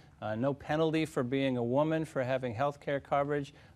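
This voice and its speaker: A man is speaking. His pitch variation is ordinary. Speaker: candidate. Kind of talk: debate answer. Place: studio. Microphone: lapel.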